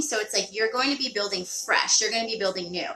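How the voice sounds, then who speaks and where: A woman at a fairly high pitch, with noticeable background noise. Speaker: tarot reader. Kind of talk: live tarot reading. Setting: live stream.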